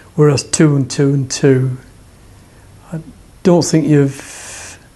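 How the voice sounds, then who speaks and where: A man with a Lancashire accent speaks at a very slow pace. His fairly high pitch stays monotone and flat. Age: 70s. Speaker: table tennis player and club secretary; former RAF serviceman. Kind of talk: interview answer.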